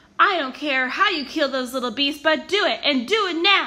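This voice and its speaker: Putting on a character voice, a woman speaks in a raised, projected voice at a high pitch. Her pace is moderate. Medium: read story. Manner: commanding, cruel.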